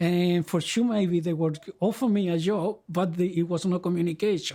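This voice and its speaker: A man's high-pitched voice with a dark, mellow tone, a Spanish accent and fairly even intonation. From Chile, rural village. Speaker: migrant interviewee. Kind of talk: life-story interview. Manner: halting, many repetitions and self-corrections.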